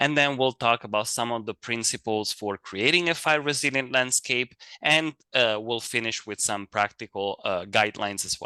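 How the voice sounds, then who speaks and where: A man with an Italian accent, medium pitch and a bright, sharp tone, with hardly any pauses, in a dry, close sound with no echo over a quiet background. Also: ordinary pitch variation, moderate pace. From Italy. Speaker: fire advisor. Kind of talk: lecture.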